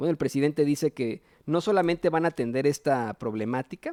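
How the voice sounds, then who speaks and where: A man uses an ordinary speaking voice at a moderate pace, with ordinary pitch variation. The recording is very clean and dry, close with no echo, over a silent background. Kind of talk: political news commentary. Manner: casual, opinionated.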